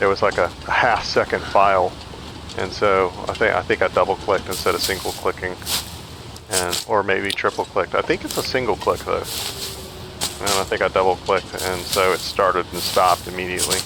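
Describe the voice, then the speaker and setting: Noticeable background noise accompanies speech at a fairly quick pace. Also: man. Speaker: gaming streamer. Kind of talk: gameplay commentary. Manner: mumbling at times; louder than usual.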